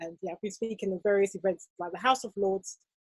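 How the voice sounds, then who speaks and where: A woman with a British accent speaks at a medium pitch with fairly even intonation. The sound is dry and close, with no echo. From England, UK. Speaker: fashion business coach. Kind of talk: casual chat.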